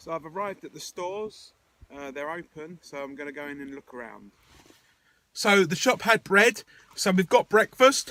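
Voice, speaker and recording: A man with an English accent, high-pitched, bright and sharp in tone, with lively intonation, big swings in loudness and a moderate pace, in a dry, close sound with no echo. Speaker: video diarist. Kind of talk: video diary. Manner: whispering.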